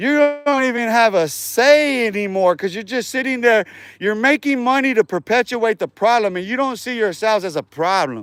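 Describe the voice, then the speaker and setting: With music in the background, someone with an American accent speaks at a moderate pace, with lively intonation and an animated tone. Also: man, extremely high pitch for a man. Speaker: livestreamer. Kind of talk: casual rant on livestream. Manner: repetitive and halting.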